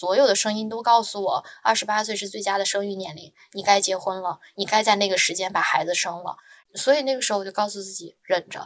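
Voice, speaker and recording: Speaking at a fairly quick pace, a woman with medium pitch shows big swings in loudness. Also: ordinary pitch variation. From northern China. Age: 20s. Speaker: marketing professional. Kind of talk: casual interview storytelling. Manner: animated.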